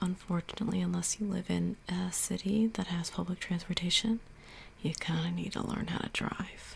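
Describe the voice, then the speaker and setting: Soft-spoken and somewhat breathy, a woman talks in a relaxed tone. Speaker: ASMR creator. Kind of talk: casual ASMR answers to camera. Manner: soft-spoken, relaxed, conversational.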